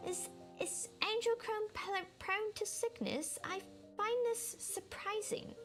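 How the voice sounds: A woman's put-on character voice at an extremely high pitch and a very slow pace, with clear music in the background.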